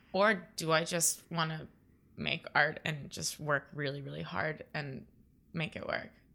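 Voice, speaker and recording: A woman with a very deep, low pitch and a bright, sharp tone speaks at a fairly slow pace with fairly even intonation and vocal fry, on a very clean recording with a silent background. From Florida (Naples, west coast). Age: 20s. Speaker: painter. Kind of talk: casual interview.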